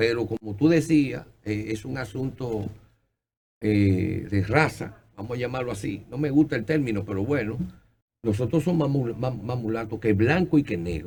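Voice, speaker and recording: The speaker has a Dominican accent and lively intonation. The voice is somewhat breathy and the pace moderate. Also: man, medium pitch for a man. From Dominican Republic. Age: 70s. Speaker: TV host. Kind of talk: interview.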